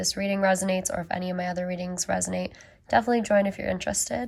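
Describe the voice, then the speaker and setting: Somewhat breathy woman's voice at a medium pitch and very fast pace. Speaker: tarot reader. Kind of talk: tarot reading monologue. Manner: hesitant, many fillers.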